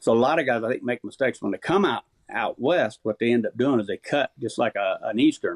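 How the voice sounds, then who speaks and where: A man with an unremarkable speaking voice, ordinary pitch variation and a fairly quick pace. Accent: American. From Missouri, US Midwest. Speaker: turkey calling champion. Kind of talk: casual chat.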